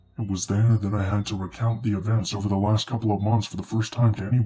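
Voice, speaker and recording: Using a put-on character voice, a man speaks fairly quickly at a fairly low pitch. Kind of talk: horror narration. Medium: read story. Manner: steady, measured.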